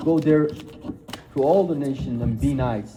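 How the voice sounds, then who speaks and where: Heard with audible room echo, a man talks in a fairly high pitch with ordinary pitch variation. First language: not English (English is third language). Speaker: speaker on Islam and Christianity. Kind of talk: lecture.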